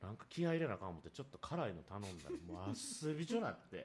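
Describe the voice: A man talks very fast in a fairly low voice with very wide pitch swings. His tone is slightly mellow with a slightly husky edge.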